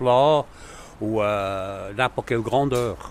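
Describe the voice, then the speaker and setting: Talking at a very slow pace, a man uses a medium pitch and ordinary pitch variation. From German-speaking Switzerland. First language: Swiss German (speaking French). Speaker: cooper. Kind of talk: interview. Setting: workshop.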